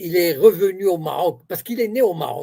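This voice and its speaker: In an Arabic accent, a man speaks with a high pitch, a dark, mellow tone and lively intonation. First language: Arabic (speaking French). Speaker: political commentator. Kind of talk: interview.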